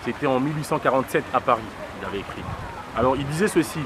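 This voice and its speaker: There is noticeable background noise as a man speaks with a Congolese accent. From DR Congo. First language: Lingala (speaking French). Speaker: political activist. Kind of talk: interview monologue. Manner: hesitant with many fillers.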